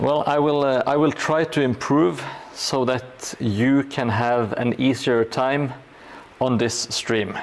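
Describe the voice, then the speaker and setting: A man talks at a very slow pace and medium pitch, with fairly even intonation and very even loudness. Noticeable background noise is present. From Norway. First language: Norwegian. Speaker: hobby livestreamer building a gaming board. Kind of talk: casual livestream chat while crafting. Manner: halting, many fillers.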